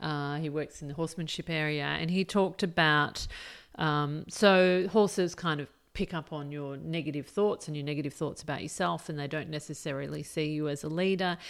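A woman with an Australian accent talks at a fairly quick pace in a very deep, low pitch with fairly even intonation. The recording is very clean, with a silent background. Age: 40s. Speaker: podcast host, career coach. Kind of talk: solo podcast monologue. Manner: casual, halting with fillers.

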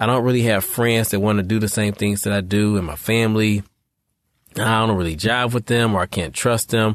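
In a normal speaking voice, a man with an American accent talks at a fairly low pitch with ordinary pitch variation against a quiet background. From US Midwest, Detroit. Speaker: therapist and life coach podcast host. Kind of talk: solo podcast talk. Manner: casual, conversational.

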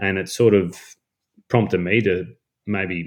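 A man talks with a strong Australian accent. His pitch varies in an ordinary way. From North Queensland, Australia. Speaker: woodworking content creator. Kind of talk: casual chat.

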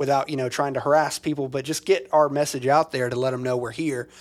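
A man with an American accent and a plain, everyday voice speaks at a medium pitch and a fairly quick pace with fairly even intonation, on a very clean recording with a silent background. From US South, small-town Mississippi. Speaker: church co-founder, podcast co-host. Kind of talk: casual chat.

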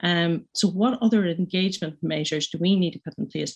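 A woman with a Northern Irish accent speaks at a moderate pace in a somewhat breathy voice. Her pitch is fairly low, with ordinary pitch variation. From Northern Ireland. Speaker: pharmacist and business owner. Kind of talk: panel discussion. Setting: remote video link.

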